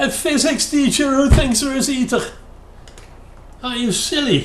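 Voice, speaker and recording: Intonation stays fairly even at a fairly slow pace. Noticeable background noise and audible room echo surround the voice. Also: man, extremely high pitch for a man. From Netherlands. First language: Dutch. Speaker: YouTube commentator. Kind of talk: critical commentary. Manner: hesitant, many fillers.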